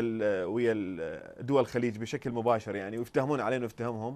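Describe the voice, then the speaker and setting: The man's speech moves along fairly quickly. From Iraq. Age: young. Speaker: political satire YouTuber; satirical show host as guest. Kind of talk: interview. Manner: halting, many fillers.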